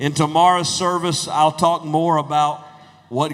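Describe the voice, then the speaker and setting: A fairly high-pitched man with a Southern US accent and monotone, flat intonation over noticeable background noise. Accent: southern drawl. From US South, North Carolina. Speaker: preacher. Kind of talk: sermon.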